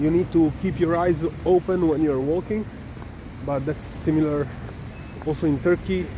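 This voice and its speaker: A man with a fairly high pitch speaks at a moderate pace. Noticeable background noise runs underneath. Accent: Italian. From Italy. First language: Italian. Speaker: travel vlogger. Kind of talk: walking vlog narration. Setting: outdoors.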